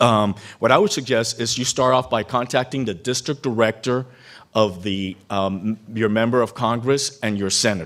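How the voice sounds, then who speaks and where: A man speaks in a normal speaking voice at medium pitch, with ordinary pitch variation. His pace is moderate, and the recording is very clean with a silent background. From Cuban-American background. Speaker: keynote speaker, former congressional staffer. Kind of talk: keynote speech.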